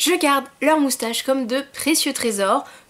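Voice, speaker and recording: A woman's high-pitched voice with lively intonation, at a fairly slow pace. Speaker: YouTuber. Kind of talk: casual vlog monologue.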